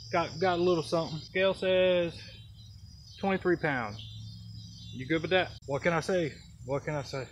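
A man talks at a moderate pace with a high pitch and ordinary pitch variation, with light background noise behind him. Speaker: fishing channel host. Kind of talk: comedy skit and casual vlog chat. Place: forest.

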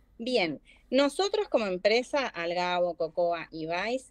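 With lively intonation and a fairly slow pace, a woman talks in a dry sound with no echo. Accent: Rioplatense. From Argentina. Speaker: marketing manager; guest. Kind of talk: live online class. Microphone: video call.

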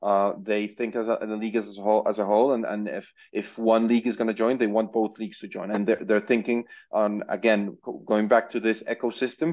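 This man talks at a fairly quick pace in a medium pitch. His intonation is monotone and flat. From Colombia. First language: Spanish. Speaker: football transfer platform executive. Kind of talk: interview. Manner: halting, many repetitions.

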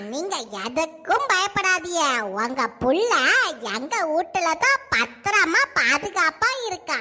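A cartoonish character voice at a very slow pace over light background noise. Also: woman, extremely high pitch for a woman. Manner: eager, helpful.

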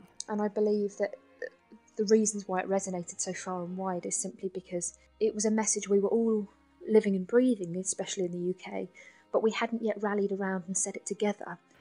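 A woman with a London accent talks at a very fast pace in a monotone, flat intonation. Music plays in the background. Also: medium pitch for a woman. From south London. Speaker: nurse and spoken word poet. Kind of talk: interview answer.

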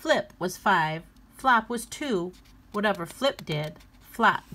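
Lively intonation in plain reading aloud

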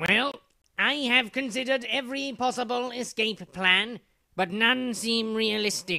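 A man uses a cartoonish character voice with an extremely high pitch, raised and projected. His intonation stays fairly even at a moderate pace. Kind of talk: comic overacting. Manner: pompous, lecturing, archaic flourishes; fussy, scolding when hushing.

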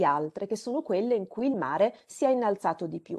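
This woman's voice is fairly high, with a dark, mellow tone. She speaks very fast, her pitch swinging very widely. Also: quiet background. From Romagna, Italy (Rimini); Romagna, Italy. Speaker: climate scientist; webinar presenter. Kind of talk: lecture. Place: home room. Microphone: video call.

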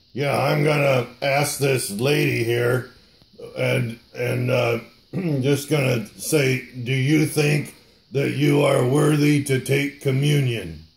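Over music in the background, a man uses a raspy, put-on character voice at a medium pitch and a very slow pace. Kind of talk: church puppet skit. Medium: puppet.

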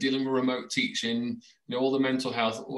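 A man speaks with a British accent in a bright, sharp tone at a fairly high pitch. The background is quiet. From UK. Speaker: education blogger and podcast host. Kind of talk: casual interview. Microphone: video call.

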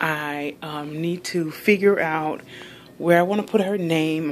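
A woman with a fairly low pitch speaks in an unremarkable speaking voice with ordinary pitch variation. Light background noise can be heard. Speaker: home room tour narrator. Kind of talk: casual vlog chat. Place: home room. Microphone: phone near.

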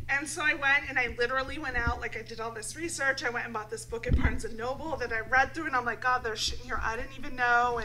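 Noticeable background noise sits behind a woman's high-pitched voice. She talks at a very fast pace with hardly any pauses and fairly even intonation. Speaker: talk show co-host. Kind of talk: casual chat. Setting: studio. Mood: playful, frank, laughing. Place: studio. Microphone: studio mic.

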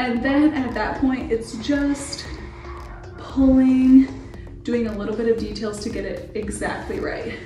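Clear music plays behind a woman speaking at a fairly slow pace. Her voice carries audible room echo. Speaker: hair tutorial host. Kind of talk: tutorial. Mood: upbeat, friendly. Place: bathroom. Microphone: camera far.

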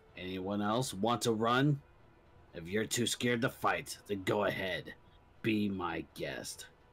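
A put-on character voice from a man, fairly low in pitch and at a fairly slow pace. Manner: cold, menacing.

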